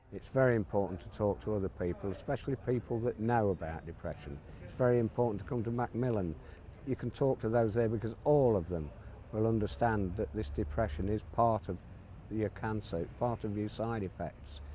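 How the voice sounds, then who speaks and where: Somewhat breathy, a man's fairly low, dark, mellow voice moves at a fairly quick pace with lively intonation. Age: 60s. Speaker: cancer patient. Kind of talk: testimony. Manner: halting, with repetitions.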